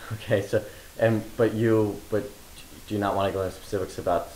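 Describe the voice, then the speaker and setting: Light background noise and audible room echo around a man talking. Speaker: interviewer. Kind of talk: interview. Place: home room.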